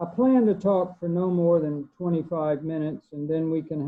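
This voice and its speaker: A man with an American accent, fairly high pitch, ordinary pitch variation and a moderate pace. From US South, southeast Arkansas. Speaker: author and poet. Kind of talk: book talk presentation.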